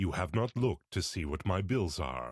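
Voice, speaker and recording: Putting on a character voice, a man with a very deep, low pitch speaks at a moderate pace with very wide pitch swings, in a very clean recording with a silent background. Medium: read story. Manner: earnest, courteous.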